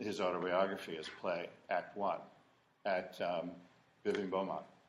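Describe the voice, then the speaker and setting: Audible room echo surrounds a man speaking with an American accent. He talks at a fairly slow pace. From Ohio. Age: 60s. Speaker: war veteran. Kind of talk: oral history interview. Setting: in-person interview. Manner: halting.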